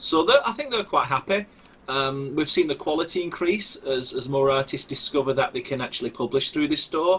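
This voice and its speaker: A man at a fairly quick pace, with a strong Lancashire accent, over noticeable background noise. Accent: thick Wigan. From northern England, Wigan. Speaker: game developer. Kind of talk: live stream interview.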